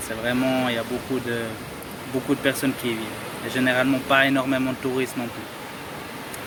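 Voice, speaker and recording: A man at a moderate pace with medium pitch and monotone, flat intonation, amid audible room echo and noticeable background noise. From Dominican Republic, Cabarete. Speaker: travel vlogger. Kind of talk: casual vlog talk to camera. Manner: halting, self-correcting.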